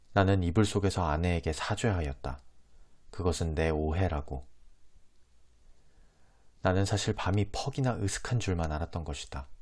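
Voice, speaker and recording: This very clean recording has a silent background and a somewhat breathy voice with a calm tone. The intonation is lively, the pace moderate, and the pauses long and frequent. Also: man, very deep, low pitch for a man. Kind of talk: audiobook reading of a classic novel. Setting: close lapel microphone. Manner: soft-spoken, calm ASMR reading.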